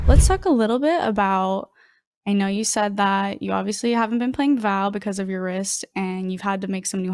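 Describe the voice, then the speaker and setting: A woman with an American accent uses an ordinary speaking voice at medium pitch, with fairly even intonation and a moderate pace. The recording is very clean, with a silent background. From US South, Georgia. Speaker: streamer and show host. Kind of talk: casual chat.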